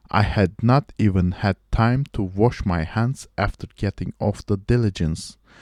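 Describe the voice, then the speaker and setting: A man with a fairly low pitch and ordinary pitch variation, at a very slow pace. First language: not English. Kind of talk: amateur audiobook-style reading of a short story. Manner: reading aloud, practice read.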